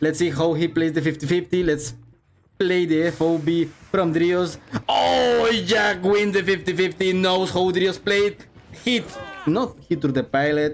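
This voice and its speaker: A man speaks at a fairly slow pace in a high pitch, with ordinary pitch variation. Noticeable background noise runs underneath. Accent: non-native. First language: not English. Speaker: esports caster. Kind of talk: live commentary. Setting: livestream. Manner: animated; halting.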